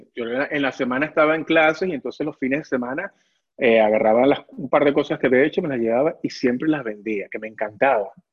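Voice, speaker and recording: With a Venezuelan accent, a man talks very fast at a medium pitch with ordinary pitch variation. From Venezuela (Caracas). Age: 40s. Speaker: ceramic artist. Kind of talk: interview. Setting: video call from his workshop.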